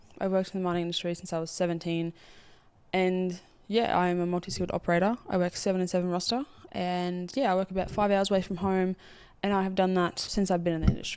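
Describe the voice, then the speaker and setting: With an Australian accent, the speaker goes very fast on a very clean recording with a silent background. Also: woman, medium pitch for a woman. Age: 20s. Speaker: podcast host, mine worker. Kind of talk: casual monologue. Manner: animated.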